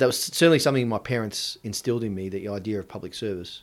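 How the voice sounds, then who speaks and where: In a very clean recording with a silent background, a man with an Australian accent talks at a fairly low pitch with fairly even intonation. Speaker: politician. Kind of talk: interview.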